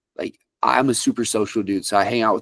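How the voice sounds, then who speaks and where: A normal speaking voice from a man, fairly low in pitch with fairly even intonation, in a dry, close recording with no echo. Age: 20s. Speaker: country music artist. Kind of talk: interview.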